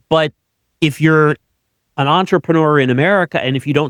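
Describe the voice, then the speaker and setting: Heard in a dry, close recording with no echo, a man with a plain, everyday voice speaks at a fairly quick pace with fairly even intonation. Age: 60s. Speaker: podcast host, tax planner. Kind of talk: podcast interview.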